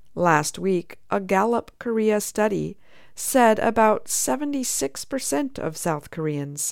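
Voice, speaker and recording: A plain, everyday voice talks at a fairly slow pace. The recording is very clean, with a silent background. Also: woman. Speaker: news reader. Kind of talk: news reading, steady and polished broadcast delivery of a scripted news story. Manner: formal; measured, even-paced and neutral.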